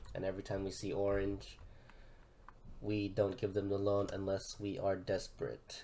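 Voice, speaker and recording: Soft-spoken and fairly low in pitch, a man talks at a fairly slow pace. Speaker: university engineering student. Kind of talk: class lab presentation.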